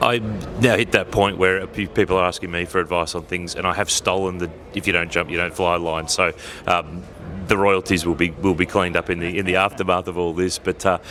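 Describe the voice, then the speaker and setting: With an Australian accent, the speaker keeps a fairly quick pace and fairly even intonation. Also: man, very deep, low pitch for a man. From Australia, Ballarat. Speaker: podcast host and motorsport commentator. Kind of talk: casual interview. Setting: at a race track.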